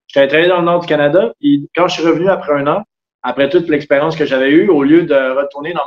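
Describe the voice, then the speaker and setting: With a Quebec accent, a man speaks at a fairly high pitch with fairly even intonation. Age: 30s. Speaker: sailor and carpenter. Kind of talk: casual interview.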